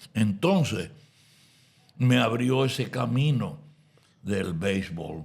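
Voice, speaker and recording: Using vocal fry and a fairly low pitch, a man speaks very slowly with lively intonation and long, frequent pauses. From Dominican Republic. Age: 80s+. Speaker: announcer. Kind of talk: interview answer.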